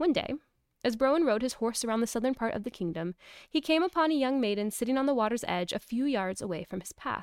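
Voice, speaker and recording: A woman's high, very fast voice with lively intonation, dry and close with no echo, on a very clean recording with a silent background. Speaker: podcast host and mother.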